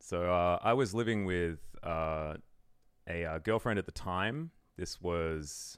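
Speaking at a very slow pace, a man with an Australian accent has a very deep, low pitch. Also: very clean recording, silent background. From Australia, Melbourne. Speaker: esports commentator. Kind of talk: casual chat.

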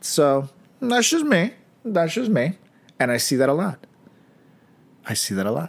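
In an animated tone with vocal fry, a man speaks at a moderate pace, his pitch swinging very widely. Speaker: podcast co-host. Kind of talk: casual chat.

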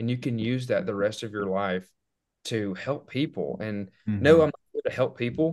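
Against a quiet background, a man in an Alabama accent speaks at a moderate pace with ordinary pitch variation. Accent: Southern US (Alabama). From US South, northwest Alabama. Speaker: dental student. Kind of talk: casual chat.

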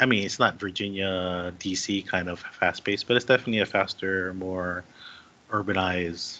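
Bright, sharp tone from a man with a fairly low pitch. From Hawaii. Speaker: government administrator. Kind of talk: casual chat.

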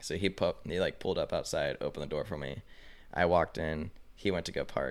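In an American accent, a man with a very deep, low pitch talks at a fairly quick pace on a very clean recording with a silent background. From Colorado. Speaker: professional snowboarder. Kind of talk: casual chat.

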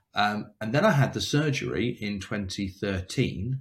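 Somewhat breathy and fairly low-pitched, a man speaks at a moderate pace with lively intonation in a very clean recording with a silent background. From England, near London. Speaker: cancer survivor and motivational speaker. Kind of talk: casual interview, personal storytelling. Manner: talkative, hesitant with repeated words.

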